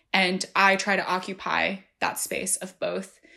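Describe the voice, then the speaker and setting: A woman with an American accent speaks at a very slow pace in a bright, sharp tone. The recording is very clean, with a silent background. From New Jersey, US. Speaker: tech journalist. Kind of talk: interview.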